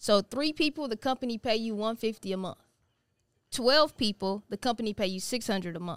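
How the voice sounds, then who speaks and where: A woman talks fairly quickly with lively intonation and a fairly high pitch. The sound is dry and close with no echo. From Houston, Texas (Missouri City). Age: 30s. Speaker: financial educator. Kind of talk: casual interview.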